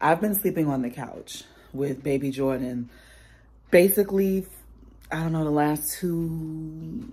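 A woman talks at a very slow pace. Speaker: mom vlogger. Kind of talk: casual vlog chat. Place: home room. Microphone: phone near.

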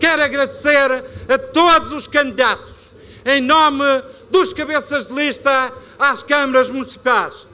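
Projecting a raised voice with a bright, sharp tone, a man with an extremely high pitch speaks at a fairly slow pace with ordinary pitch variation and long, frequent pauses. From Madeira, Portugal. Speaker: regional party leader; politician giving a rally speech. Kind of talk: political rally speech. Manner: animated. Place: stage. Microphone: podium.

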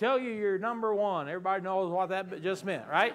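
Speaking in a slight Southern US accent, a man uses a high pitch and an animated tone at a moderate pace. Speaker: pastor. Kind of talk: sermon. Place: church.

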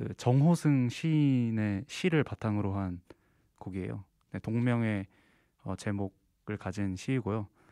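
A man with a dark, mellow tone and fairly low pitch speaks very slowly with ordinary pitch variation. The sound is dry with no echo over a quiet background. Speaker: singer-songwriter and composer, university student; interviewee. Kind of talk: interview. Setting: studio. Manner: relaxed. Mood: calm, polite. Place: studio. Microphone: handheld.

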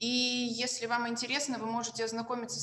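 A woman talking at a fairly quick pace amid audible room echo. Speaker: law scholar. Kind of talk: academic presentation. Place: home room. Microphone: video call.

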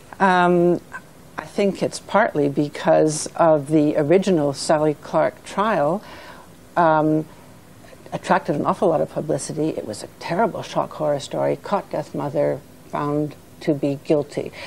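Over light background noise, a woman speaks at a fairly slow pace in a very deep, low pitch with ordinary pitch variation. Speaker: charity director. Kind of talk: studio discussion. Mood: earnest, concerned. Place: studio. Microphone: lapel.

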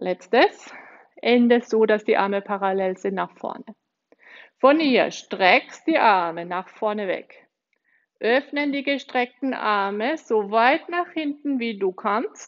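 Very slow speech from a woman over a quiet background. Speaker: exercise instructor. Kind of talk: tutorial. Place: gym.

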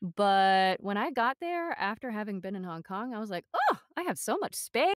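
A woman with an American accent speaks at a moderate pace in a fairly high voice. Her pitch swings very widely, and the sound is dry and close with no echo. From US West (Los Angeles, San Gabriel Valley). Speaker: voice actor and audiobook narrator. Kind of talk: interview.

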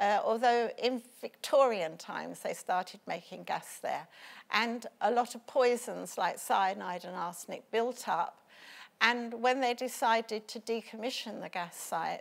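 Lively in her intonation, a woman speaks at a fairly slow pace in a fairly high pitch with vocal fry. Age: 70s. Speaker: local campaigner. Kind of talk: interview. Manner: halting. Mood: worried, earnest. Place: studio. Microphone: lapel.

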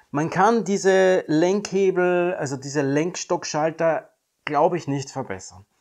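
Over a quiet background, a man talks at a fairly slow pace in a high pitch with ordinary pitch variation. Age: 50s. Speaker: YouTuber reviewing electric cars. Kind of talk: video monologue commentary. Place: home room.

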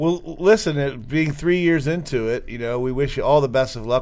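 A man speaks in a plain, everyday voice, fairly high-pitched, with an American accent and ordinary pitch variation. His pace is moderate, and the background is quiet. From Maryland. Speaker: podcast host. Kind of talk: interview.

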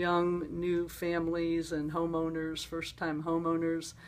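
This woman's voice sits at a fairly low pitch. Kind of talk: interview answer. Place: home room. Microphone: phone near.

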